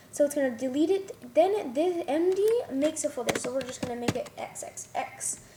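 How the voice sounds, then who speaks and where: A woman speaks at a moderate pace with a high pitch and lively intonation. Noticeable background noise sits behind her. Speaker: coding tutorial maker. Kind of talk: tutorial. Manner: halting.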